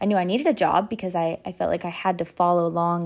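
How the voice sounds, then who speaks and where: In a Texan accent, a woman speaks with ordinary pitch variation on a very clean recording with a silent background. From US South, north Texas. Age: 20s. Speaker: podcast host and small business owner. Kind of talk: casual monologue.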